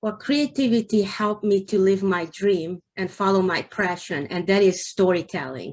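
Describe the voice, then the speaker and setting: A woman with a Hungarian accent, medium pitch and ordinary pitch variation, at a fairly slow pace against a quiet background. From Hungary. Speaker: novelist. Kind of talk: interview. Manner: halting.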